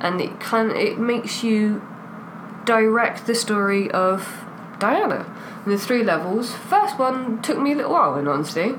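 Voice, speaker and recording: A woman with a British accent, fairly high-pitched, with lively intonation, very even loudness and a moderate pace, amid audible room echo and noticeable background noise. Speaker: podcast co-host. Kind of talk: casual chat. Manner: animated.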